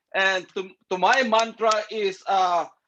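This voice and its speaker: A man's high-pitched voice with a bright, sharp tone. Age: 60s. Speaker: network marketing distributor. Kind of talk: online business forum testimony. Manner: halting, many repetitions and fillers.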